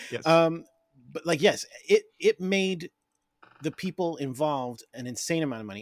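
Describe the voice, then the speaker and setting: A man's lively intonation at a moderate pace, in dry, close sound with no echo, on a very clean recording with a silent background. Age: 40s. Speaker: podcast co-host, horror movie fan. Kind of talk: casual chat.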